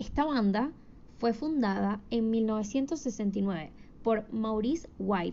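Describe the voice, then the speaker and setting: This woman's voice sits fairly high in pitch. Its pitch varies in an ordinary way. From Venezuela, Caracas. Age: 20s. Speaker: podcast host. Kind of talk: solo podcast monologue. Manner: hesitant with fillers.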